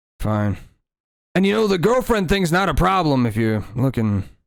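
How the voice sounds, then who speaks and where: A man uses a put-on character voice, rumbling and fairly high in pitch. He moves at a moderate pace with very wide pitch swings. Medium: actual play. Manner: curt, grumbling.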